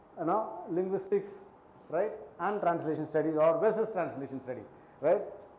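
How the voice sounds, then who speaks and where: A non-native accent with ordinary pitch variation, audible room echo and noticeable background noise. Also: man. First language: not Hindi. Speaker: linguistics lecturer. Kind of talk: lecture. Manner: conversational, many fillers.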